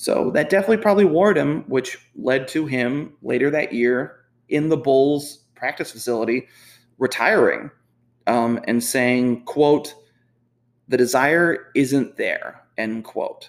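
A man with a plain, everyday voice, a fairly high pitch, lively intonation and a fairly slow pace. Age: 30s. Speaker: sports podcast host. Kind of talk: solo podcast monologue. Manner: casual with frequent fillers.

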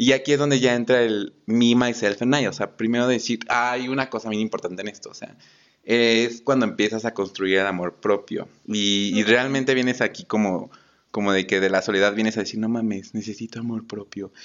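This man has an ordinary speaking voice at a medium pitch, talking at a fairly quick pace with fairly even intonation. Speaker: podcast co-host. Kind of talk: casual chat.

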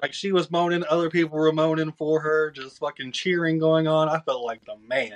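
In a Southern US accent, a man speaks at a fairly quick pace with hardly any pauses. His pitch is fairly high and his intonation fairly even. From Georgia, US South. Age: 20s. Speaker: podcast guest. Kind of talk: casual chat.

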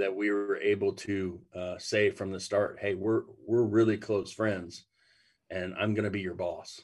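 Fairly low-pitched, flat, monotone speech from a man with an American accent, at a fairly slow pace against a quiet background. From Ohio. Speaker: pastor. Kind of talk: casual chat.

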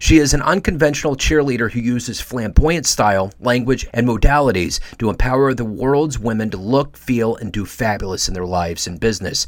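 The speech runs at a fairly quick pace with hardly any pauses and lively intonation, over noticeable background noise. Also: man, medium pitch for a man. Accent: General American. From United States. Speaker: podcast host. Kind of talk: scripted narration.

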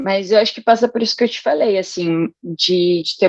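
In a plain, everyday voice, a woman speaks at a medium pitch. Her intonation stays fairly even. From São Paulo, Brazil (Itaim Paulista, east zone). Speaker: art educator. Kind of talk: casual chat.

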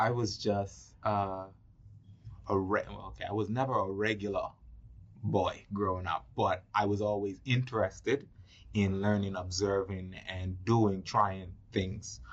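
Somewhat breathy speech at a fairly slow pace with fairly even intonation. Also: man, fairly low pitch for a man. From Turks and Caicos Islands. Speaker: film producer. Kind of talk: casual interview.

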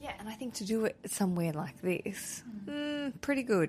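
An animated, somewhat breathy voice with an Australian accent at a moderate pace, in a very clean recording with a silent background. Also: woman. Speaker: podcast host. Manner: chatty, animated.

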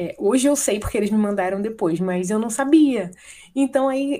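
Dark and mellow in tone, a woman speaks at a fairly high pitch and a fairly slow pace with lively intonation. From Brazil, Paraná. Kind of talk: interview.

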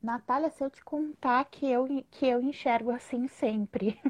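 Against a quiet background, a woman's high pitch shows ordinary pitch variation in a dry, close sound with no echo. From Rio Grande do Sul, southern Brazil. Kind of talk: casual live interview. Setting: online live video stream.

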